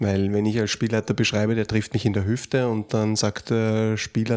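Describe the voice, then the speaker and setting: A man at a medium pitch with a slight Austrian accent, fairly quick pace, very clean recording and silent background. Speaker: podcast host, role-playing game designer. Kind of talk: casual chat.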